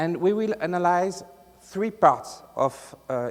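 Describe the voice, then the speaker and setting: With a strong French accent, a man talks in lively intonation. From France. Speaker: IT consultant, conference presenter. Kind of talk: conference talk. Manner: halting, many filler sounds; deliberately articulated.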